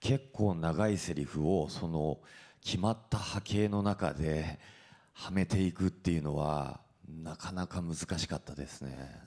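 In a dark, mellow tone against a quiet background, the voice moves at a fairly slow pace with ordinary pitch variation. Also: man, very deep, low pitch for a man. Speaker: actor at press event. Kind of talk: panel talk at press event. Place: hall. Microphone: handheld.

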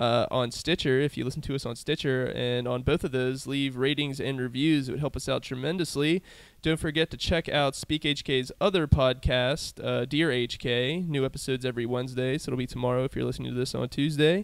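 At a fairly quick pace, with hardly any pauses and fairly even intonation, the speaker has a normal speaking voice. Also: man, medium pitch for a man. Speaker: podcast host. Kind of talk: casual interview and event rundown. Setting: comedy club venue.

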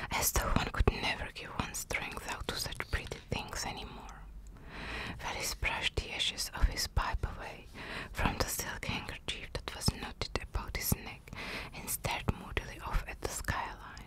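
A woman whispering in a calm tone at a moderate pace, with big swings in loudness. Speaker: ASMR narrator. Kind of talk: whispered audiobook-style story reading (ASMR). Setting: close-mic ASMR recording with drawing sounds. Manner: whispered, calm, soft. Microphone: studio mic.

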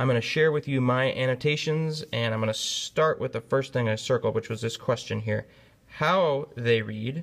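A normal speaking voice from a man, pitched medium, moving at a moderate pace with ordinary pitch variation. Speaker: teacher. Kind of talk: lecture.

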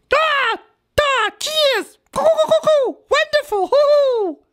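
The voice sits at an extremely high pitch and moves at a very slow pace. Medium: comedy sketch. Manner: jovial, hyper, cackling.

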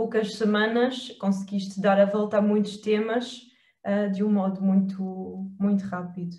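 A woman with a European Portuguese accent speaks in a dark, mellow tone that is somewhat breathy. Audible room echo surrounds her against a quiet background. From Portugal. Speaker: hypnotherapist and wellbeing coach; wellbeing coach. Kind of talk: interview. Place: home room. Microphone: webcam.

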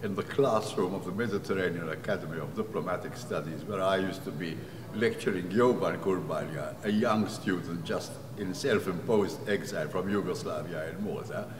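Noticeable background noise sits behind a man talking at a fairly quick pace. His pitch is fairly low, with ordinary variation. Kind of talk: interview statement. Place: hall.

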